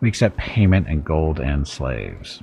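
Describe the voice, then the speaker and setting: Soft-spoken, a man puts on a character voice with a very deep, low pitch. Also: moderate pace. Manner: suave, sinister.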